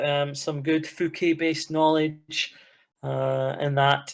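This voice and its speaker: A man with a Scottish accent speaks very slowly in a monotone, flat intonation, his pitch fairly high for a man, on a very clean recording with a silent background. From Scotland. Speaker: podcast co-host. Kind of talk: casual chat.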